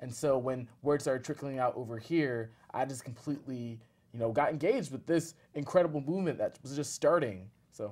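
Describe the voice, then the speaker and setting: With an American accent and an ordinary speaking voice, this speaker talks at a fairly quick pace with ordinary pitch variation. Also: man, medium pitch for a man. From US, Northern Virginia. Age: 20s. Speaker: community activist. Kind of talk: interview.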